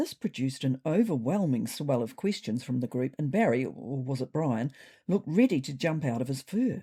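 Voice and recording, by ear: A woman speaks at a moderate pace with an extremely low pitch and big pitch swings. Her tone is dark and mellow, with a slightly husky edge.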